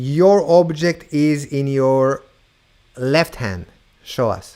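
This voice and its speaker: This man's voice sits at a fairly high pitch with a dark, mellow tone and ordinary pitch variation. He speaks at a very slow pace. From Israel. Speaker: mentalist and show host. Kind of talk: live virtual variety show hosting. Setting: video call.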